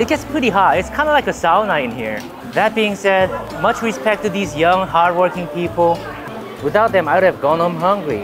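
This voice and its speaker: Fairly quick speech over clear music in the background. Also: man. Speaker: food vlogger. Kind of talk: casual vlog chat. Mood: cheerful, amused. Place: market. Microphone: lapel.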